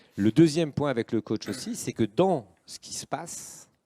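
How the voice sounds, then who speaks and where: A man's normal speaking voice, medium in pitch, with lively intonation, a fairly slow pace, and a dry, close sound with no echo. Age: 60s. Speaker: association president and entrepreneur. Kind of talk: live panel talk. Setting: live-streamed panel on set.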